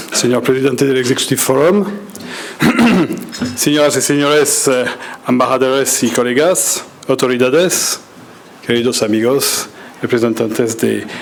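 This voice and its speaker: With a French accent, a man of medium pitch speaks at a fairly slow pace, taking long, frequent pauses, with ordinary pitch variation and very even loudness. Noticeable background noise and audible room echo fill the recording. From France. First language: French (speaking Spanish). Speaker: ambassador. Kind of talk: speech reading. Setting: business breakfast in hotel event room. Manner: hesitant with many fillers.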